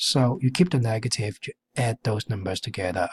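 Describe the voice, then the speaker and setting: At a moderate pace, a somewhat breathy man speaks in a dry, close sound with no echo. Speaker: math teacher. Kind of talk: tutorial. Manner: halting.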